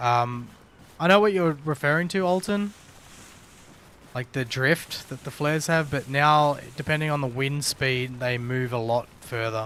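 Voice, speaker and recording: The voice has an Australian accent. It moves at a fairly slow pace with ordinary pitch variation. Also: man, fairly high pitch for a man. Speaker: gaming streamer. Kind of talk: casual live stream chat. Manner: casual, animated.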